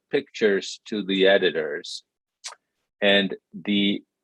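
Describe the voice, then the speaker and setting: The sound is dry and close, without any echo. A man talks in a Spanish accent. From Mexico City, Mexico. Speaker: writer and film director. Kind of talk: panel conversation. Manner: reflective, halting with fillers.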